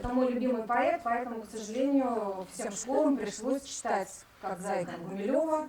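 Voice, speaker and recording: Noticeable background noise runs under a woman speaking at a high pitch. She keeps a moderate pace with hardly any pauses and ordinary pitch variation. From Russian far north, Murmansk region. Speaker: art school teacher. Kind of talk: conference talk. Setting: conference with audience. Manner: hesitant, many filler sounds.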